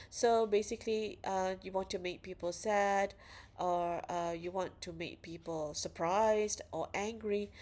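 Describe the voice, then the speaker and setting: A woman at medium pitch and fairly slow pace, fairly even in intonation, on a very clean recording with a silent background. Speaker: university lecturer. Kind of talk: lecture.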